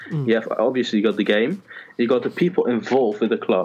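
This man speaks with a Dutch accent. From Netherlands. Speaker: lifestyle blogger. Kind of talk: casual chat. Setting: call recording. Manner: halting.

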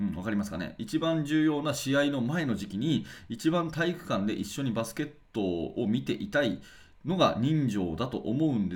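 A man at a moderate pace, with very wide pitch swings and vocal fry. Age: 40s. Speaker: basketball coach and podcast host. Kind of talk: solo radio talk.

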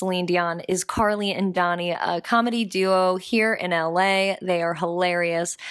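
The recording is very clean and the background silent. A woman talks very slowly. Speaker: podcast co-host. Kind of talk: casual chat. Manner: animated.

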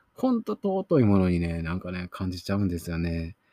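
The voice has a dark, mellow tone, recorded with a dry, close sound with no echo. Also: man, very clean recording, silent background. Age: 30s. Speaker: film review podcaster. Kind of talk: solo film review monologue. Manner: casual, hesitant with many fillers.

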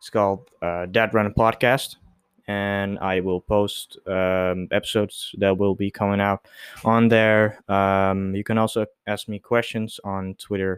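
On a very clean recording with a silent background, a man with a non-native accent talks at a fairly slow pace in a fairly low, monotone, flat voice. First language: not English. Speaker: solo podcaster. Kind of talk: casual solo monologue. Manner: halting, many fillers.

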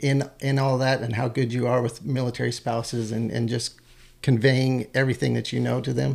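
At a fairly quick pace, a man in an American accent delivers his medium-pitched speech with monotone, flat intonation. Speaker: podcast host; army ranger. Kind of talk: casual interview chat.

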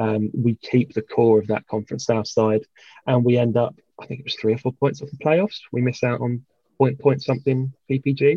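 Somewhat breathy, a man speaks at medium pitch with a dark, mellow tone and fairly even intonation. His moderate pace comes through a dry, close sound with no echo. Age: 20s. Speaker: football fan and club volunteer. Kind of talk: casual chat. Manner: halting.

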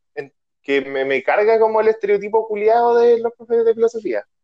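Heard dry and close with no echo, a man with a Chilean accent talks at a fairly quick pace in a high pitch. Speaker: podcast host. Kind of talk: casual chat. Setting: video call.

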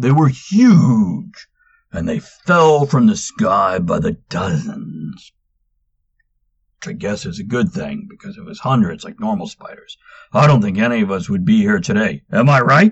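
A man's fairly high pitch with very wide pitch swings. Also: moderate pace. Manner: rambling, folksy, crowd-pleasing.

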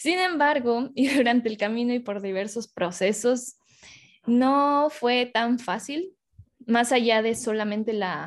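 A woman with a Mexican accent talks at a fairly high pitch with ordinary pitch variation. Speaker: podcast host. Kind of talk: casual chat.

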